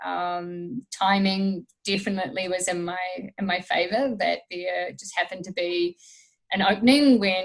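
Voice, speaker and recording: A woman at a fairly slow pace, medium in pitch, with ordinary pitch variation. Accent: New Zealand. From New Zealand, small town. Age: 30s. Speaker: strength and conditioning coach. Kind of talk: podcast interview, casual chat. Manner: lots of fillers (um, uh).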